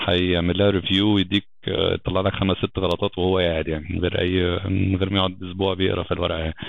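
A man's very deep, low voice at a very fast pace, monotone and flat. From Egypt, Alexandria. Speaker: software engineering lead. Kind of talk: podcast interview.

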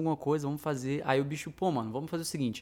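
In a very clean recording with a silent background, a man talks at a fairly high pitch with fairly even intonation. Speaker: musician, guitar teacher. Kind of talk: casual chat. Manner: loud.

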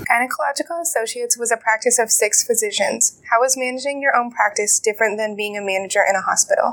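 A woman's high-pitched voice at a very fast pace with hardly any pauses and ordinary pitch variation, dry and close with no echo, over noticeable background noise. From northern Maine, Presque Isle. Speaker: university student interviewer. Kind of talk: interview.

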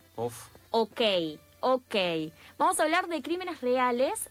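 A woman speaks at a fairly slow pace in a high pitch with very wide pitch swings, music playing in the background. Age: 30s. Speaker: radio columnist. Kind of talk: radio segment. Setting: radio studio.

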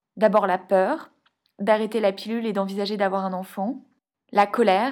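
A woman's plain, everyday voice at a fairly high pitch and moderate pace, in a very clean recording with a silent background. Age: 30s. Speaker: podcast host and endometriosis patient. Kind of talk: scripted narration.

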